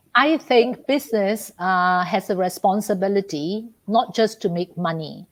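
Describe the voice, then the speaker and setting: Against a quiet background, a woman speaks with a Malaysian accent. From Malaysia, Ipoh. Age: 60s. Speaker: business executive. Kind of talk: podcast interview. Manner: animated.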